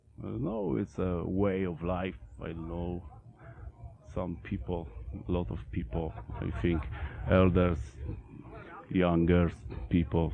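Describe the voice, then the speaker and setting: A man's very deep, low voice with a Polish accent and long, frequent pauses. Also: ordinary pitch variation. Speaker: metal band vocalist and bassist. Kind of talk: interview. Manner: halting.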